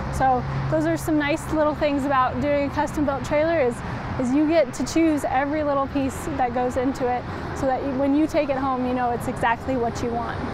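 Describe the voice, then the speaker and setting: A woman talks at a fairly quick pace in a high pitch with ordinary pitch variation. The sound is dry with no echo, and there is noticeable background noise. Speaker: presenter. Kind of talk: live product walkaround presentation. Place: street.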